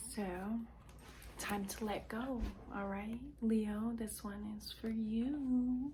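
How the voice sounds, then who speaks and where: A woman's quiet, fairly high voice at a very slow pace, with long, frequent pauses, audible room echo and noticeable background noise. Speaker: tarot and intuitive reader. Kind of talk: intuitive card reading to viewers.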